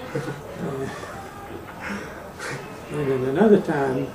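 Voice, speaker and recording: Very slow male speech amid noticeable background noise. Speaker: war veteran. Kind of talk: interview answer.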